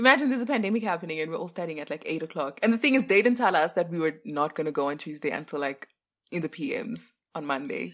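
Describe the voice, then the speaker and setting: A woman's fairly low voice at a very fast pace, with very wide pitch swings. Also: very clean recording, silent background. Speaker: podcast co-host, university student. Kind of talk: casual chat.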